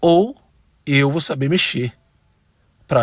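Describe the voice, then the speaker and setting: A man with a fairly high pitch speaks at a fairly slow pace in a somewhat breathy voice, with ordinary pitch variation and a dry, close sound without echo on a very clean recording with a silent background. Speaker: church music ministry teacher. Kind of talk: tutorial. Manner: conversational.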